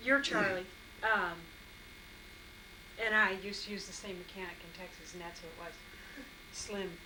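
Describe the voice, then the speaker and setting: The speech moves at a moderate pace with fairly even intonation, big swings in loudness and long, frequent pauses. Audible room echo and noticeable background noise are present. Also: woman, medium pitch for a woman. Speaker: family member. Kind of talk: casual family conversation.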